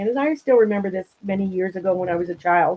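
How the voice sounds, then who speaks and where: A woman speaks with an Ontario accent and ordinary pitch variation. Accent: Canadian (Ontario). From Southern Ontario, Canada. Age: 60s. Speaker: angling club representative. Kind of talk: casual chat.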